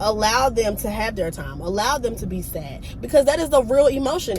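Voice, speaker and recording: A woman's fairly brisk speech comes through noticeable background noise. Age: 20s. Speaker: lifestyle vlogger. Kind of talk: advice talk to camera.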